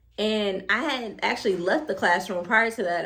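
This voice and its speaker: A woman speaks with an American accent and ordinary pitch variation. The room echo is audible. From New Jersey. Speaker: preschool teacher and YouTuber. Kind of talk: casual talk to camera. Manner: fast; halting with many repetitions.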